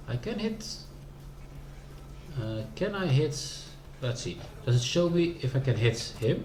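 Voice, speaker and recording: With a Dutch accent, a man speaks at a medium pitch and fairly slow pace, with very wide pitch swings and long, frequent pauses, amid audible room echo and noticeable background noise. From Netherlands. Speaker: video game streamer. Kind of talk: casual gameplay commentary. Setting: live stream.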